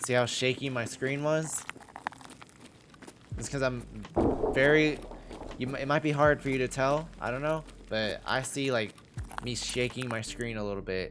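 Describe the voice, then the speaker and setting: The speech has long, frequent pauses, with noticeable background noise behind it. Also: man, medium pitch for a man, fairly even intonation, moderate pace. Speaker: gaming streamer. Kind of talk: tutorial. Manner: casual, hesitant with many fillers.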